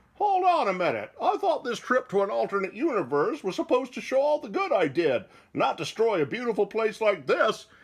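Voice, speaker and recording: A man speaks in a cartoonish character voice, high-pitched for a man, at a fairly quick pace with hardly any pauses. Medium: puppet show.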